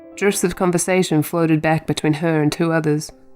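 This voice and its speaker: A woman with a New Zealand accent speaks at a fairly quick pace in a fairly low, monotone, flat voice. Music plays in the background. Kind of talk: audiobook reading of an autobiography. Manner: amateur, unpolished.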